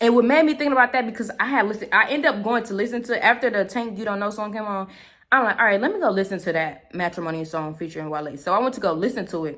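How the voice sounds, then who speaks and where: A woman speaks very fast with a fairly high pitch. Her intonation is lively and her tone animated. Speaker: spiritual channeler, vlogger. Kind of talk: casual channeled-message vlog.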